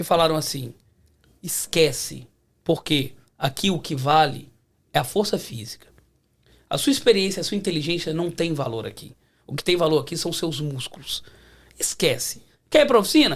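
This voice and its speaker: At a moderate tempo, a man's speech is broken by long pauses that come often. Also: fairly high pitch for a man, ordinary pitch variation, big swings in loudness. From Belo Horizonte, Brazil. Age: 40s. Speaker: mechanic. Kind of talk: casual chat.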